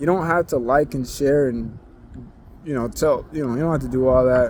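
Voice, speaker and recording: The voice shows ordinary pitch variation over noticeable background noise. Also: man. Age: young. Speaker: vlogger. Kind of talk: casual vent monologue. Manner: low energy; rambling, hesitant.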